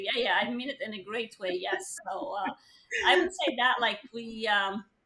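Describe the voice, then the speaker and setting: A woman's bright, sharp, fairly high voice with a non-native accent and lively intonation. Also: moderate pace. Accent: foreign. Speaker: real estate team leader. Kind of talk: interview.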